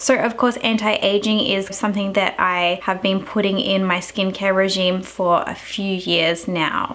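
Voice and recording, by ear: A woman speaks at a fairly slow pace with a medium pitch. Her fairly bright tone shows little pitch movement.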